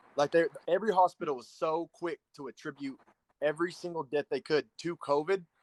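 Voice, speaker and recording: An unremarkable speaking voice from a man with an American accent, fairly high-pitched and fairly quick, with fairly even intonation, big swings in loudness, and a dry, close sound with no echo. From Oklahoma. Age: 30s. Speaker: conservative commentator. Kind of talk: casual debate.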